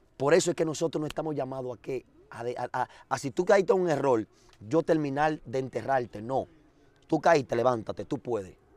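With a normal speaking voice, a man talks at a fairly quick pace in a fairly high pitch, showing ordinary pitch variation in a dry, close sound with no echo. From Dominican Republic, Azua. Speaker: former gang leader turned street preacher. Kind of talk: testimony.

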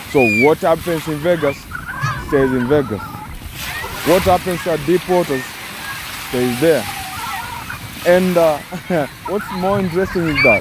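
Noticeable background noise sits under a dry, echo-free voice that moves at a moderate pace with long, frequent pauses. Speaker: vlogger filming. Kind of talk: casual vlog commentary. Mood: joking, teasing. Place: beach. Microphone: phone near.

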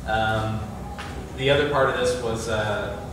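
A man is speaking in a room with strong echo. Noticeable background noise is present. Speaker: foundation program officer presenting a project. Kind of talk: public presentation with Q&A. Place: hall.

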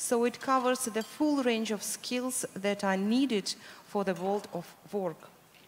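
With a Russian accent, a woman talks at a fairly slow pace in a fairly high pitch with ordinary pitch variation over light background noise. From Russia, Moscow. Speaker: education program manager; panelist. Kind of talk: panel discussion. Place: hall. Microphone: handheld.

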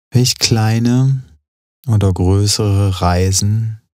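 A man's fairly low voice has a dark, mellow tone and a calm, soothing tone, with fairly even intonation. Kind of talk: guided meditation. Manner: slow, calm, soothing.

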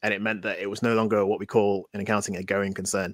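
A man with a Mancunian accent talks at a very fast pace in a bright, sharp tone with monotone, flat intonation. The sound is dry with no echo, over a quiet background. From Manchester, England. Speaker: tech entrepreneur. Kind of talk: interview. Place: home room.

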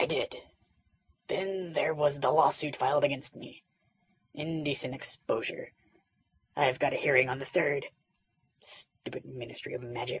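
Long, frequent pauses break up this cartoonish character voice. It sits at a low-to-middle pitch and a moderate pace. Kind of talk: comic parody voice acting. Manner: impatient, irritable, bossy.

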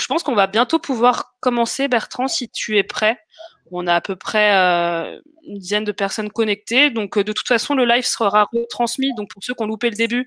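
Against a quiet background, a woman talks at a moderate pace in a dry sound with no echo. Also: ordinary pitch variation. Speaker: webinar host. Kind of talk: hosting live webinar introduction. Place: home room. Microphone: webcam.

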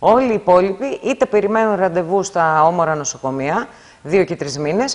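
The pace here is moderate. The speaker is a woman. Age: 50s. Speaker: hospital workers' union representative. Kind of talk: interview. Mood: critical, indignant about staffing. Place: studio. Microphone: lapel.

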